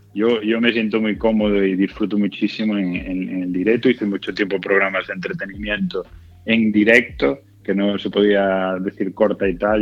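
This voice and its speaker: A man's fairly low voice moves at a moderate speed while music plays behind him. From Galicia, Spain (Culleredo, near A Coruña). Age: 40s. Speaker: actor and comedian. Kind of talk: interview. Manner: halting, many repetitions.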